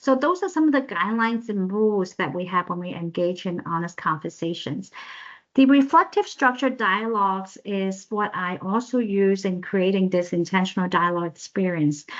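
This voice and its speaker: A woman at medium pitch talks at a moderate pace with lively intonation. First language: not English. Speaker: professor and social worker. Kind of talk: presentation. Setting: video call. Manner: halting.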